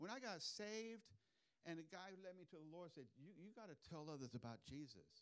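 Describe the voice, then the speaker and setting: A man speaks loud and at a fairly quick pace. His pitch is high, and his intonation is lively. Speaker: preacher. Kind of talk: sermon. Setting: church.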